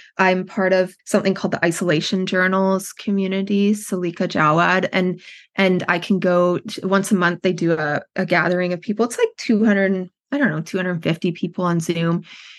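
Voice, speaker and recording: A woman speaks with a Western Canadian accent at a fairly quick pace and medium pitch. Her intonation stays fairly even over a quiet background. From Canada, Edmonton, Alberta. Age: 40s. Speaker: writing workshop founder in recovery. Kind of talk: personal story in interview.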